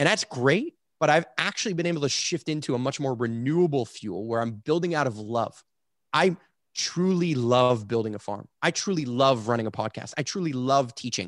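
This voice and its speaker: The recording is very clean, with a silent background. A man with a Montreal accent speaks at a moderate pace with lively intonation. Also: medium pitch for a man. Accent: Montreal English (Canadian). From Montreal, Quebec, Canada. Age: 30s. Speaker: entrepreneur and farmer. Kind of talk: interview conversation.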